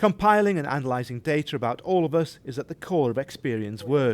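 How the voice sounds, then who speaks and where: At a fairly quick pace and with lively intonation, a man with a slight Geordie accent speaks at a fairly high pitch in a very clean recording with a silent background. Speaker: TV presenter. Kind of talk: scripted narration.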